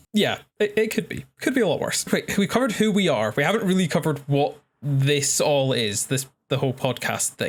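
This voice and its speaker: Using a Scottish accent, a man talks at a fairly quick pace, somewhat breathy, with very wide pitch swings. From Scotland. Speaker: podcast co-host, astrophysics graduate. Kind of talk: casual chat.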